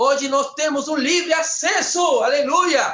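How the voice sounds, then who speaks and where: A man speaks with a Spanish accent. His pace is very slow. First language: Spanish (speaking Portuguese). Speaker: preacher. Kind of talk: sermon. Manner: fervent.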